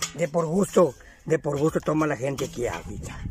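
The man talks at a fairly quick pace. Faint music plays in the background. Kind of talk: casual chat and joke telling. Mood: joking, jovial.

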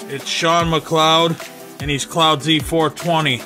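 Music plays clearly behind a man's voice. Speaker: card collector host. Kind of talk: casual vlog chat. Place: home room. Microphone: phone near.

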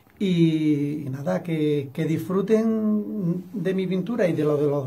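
This man talks at a fairly high pitch with ordinary pitch variation. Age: 60s. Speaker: painter. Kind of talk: interview. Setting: studio. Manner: halting. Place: home room. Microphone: webcam.

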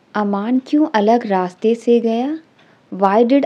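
This woman has an Indian accent and a fairly high pitch. Her pitch variation is ordinary. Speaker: English teacher. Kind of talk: tutorial.

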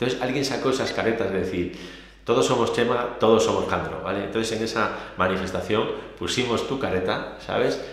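Amid audible room echo, a man talks in an animated tone at a fairly quick pace. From Spain. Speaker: police union leader. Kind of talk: interview.

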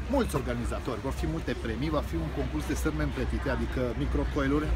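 A man talks at a moderate pace while noticeable noise carries in the background. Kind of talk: casual vlog promo. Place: street. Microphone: phone near.

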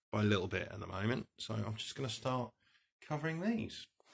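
A man talks at a fairly quick pace in a somewhat breathy voice. His pitch varies in an ordinary way. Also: quiet background. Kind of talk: tutorial. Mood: relaxed, chatty. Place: home room. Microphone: phone near.

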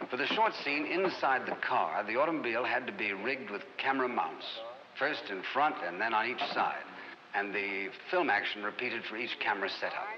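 Against noticeable background noise, a man at medium pitch speaks at a fairly quick pace with lively intonation. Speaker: promo narrator. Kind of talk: 1960s film promo narration. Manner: formal, measured, authoritative.

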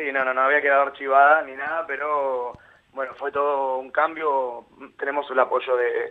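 This man's voice sits fairly high in pitch and stays monotone, with flat intonation. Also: moderate pace. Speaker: actor and singer. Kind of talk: interview.

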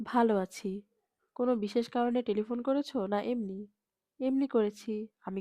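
The background is quiet as a person reads aloud in a natural voice.

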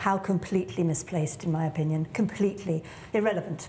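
Talking at a very fast pace, a woman has a British accent and a fairly low pitch with ordinary variation. Light background noise can be heard. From England. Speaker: tech entrepreneur and business leader; panelist. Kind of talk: panel discussion. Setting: stage with audience. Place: stage. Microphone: lapel.

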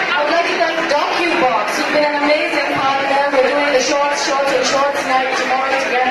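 A woman talks at a fairly quick pace with hardly any pauses. Loud background noise and audible room echo fill the recording. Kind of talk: event speech. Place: hall.

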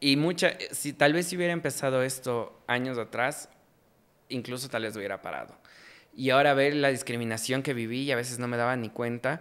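A man talks in a Quito accent. He speaks at a fairly quick pace. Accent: Quito Ecuadorian Spanish. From Ecuador, Quito; Ecuador. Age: 20s. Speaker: journalist and comedy content creator; journalist, comedy content creator. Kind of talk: casual interview chat. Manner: animated. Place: studio. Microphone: studio mic.

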